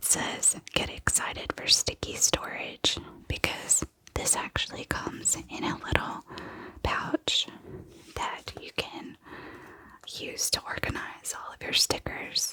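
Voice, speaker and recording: Someone whispers at a very slow pace with long, frequent pauses. Noticeable background noise is present. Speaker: ASMR creator. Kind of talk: ASMR whispered show-and-tell. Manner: whispering; soft-spoken.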